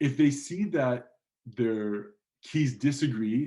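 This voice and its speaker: This man's voice sits at a medium pitch with ordinary pitch variation. His tone is dark and mellow. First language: not English. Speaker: guest lecturer. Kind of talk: lecture. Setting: online lecture. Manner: casual, with fillers. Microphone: slightly distorted audio.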